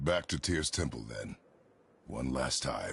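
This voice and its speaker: Raspy put-on character voice at a fairly slow pace. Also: man. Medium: video game. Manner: terse, grave.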